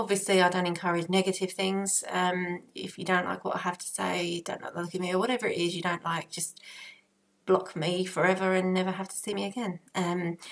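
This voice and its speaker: Here a woman in an Essex accent talks at a fairly quick pace. Her intonation is monotone and flat. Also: medium pitch for a woman. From Essex, England. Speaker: parenting vlogger. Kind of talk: casual vlog talk to camera. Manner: hesitant, many fillers.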